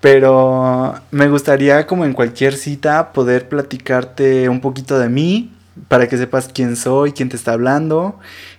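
A man speaks with a Mexican accent at a fairly slow pace. His intonation stays fairly even against a quiet background. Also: medium pitch for a man. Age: 20s. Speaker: podcast host. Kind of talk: casual monologue.

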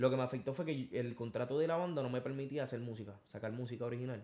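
A man's intonation stays fairly even as he talks at a very fast pace. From Puerto Rico, Corozal countryside. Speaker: singer. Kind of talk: interview. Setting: studio.

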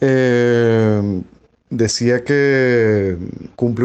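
The speaker is a man with a medium-pitched voice. The background is quiet. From Venezuela, Caracas. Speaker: university professor and writer. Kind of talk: interview. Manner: formal.

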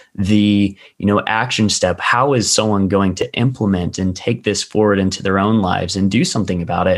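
A man with a plain, everyday voice speaks fairly quickly at a fairly low pitch, with very even loudness and fairly even intonation over a quiet background. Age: 20s. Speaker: podcast host and dog trainer. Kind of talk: casual interview chat.

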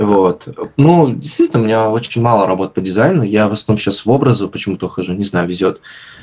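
A man with a fairly low pitch and ordinary pitch variation, at a very fast pace with hardly any pauses. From St Petersburg, Russia. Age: 20s. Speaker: designer and blogger. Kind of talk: casual interview.

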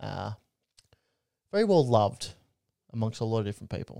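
A dark, mellow tone in an Australian accent. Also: man. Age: 20s. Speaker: podcast co-host. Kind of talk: casual chat.

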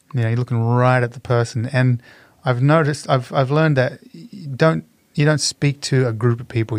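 A man with a plain, everyday voice and medium pitch talks at a moderate pace with fairly even intonation, recorded very cleanly against a silent background with a dry, close sound and no echo. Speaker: street performer and entertainer. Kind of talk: casual interview chat.

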